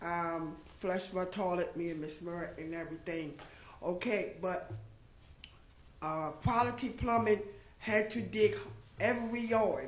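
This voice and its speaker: At a fairly slow pace with long, frequent pauses, a woman speaks at medium pitch with ordinary pitch variation, and audible room echo surrounds her. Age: 60s. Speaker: resident giving public comment. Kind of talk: public comment at council meeting. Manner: halting, many fillers.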